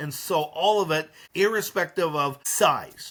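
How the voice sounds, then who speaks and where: The voice belongs to a man. Its rises and falls in pitch are ordinary. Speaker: molecular virologist. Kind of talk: interview answer.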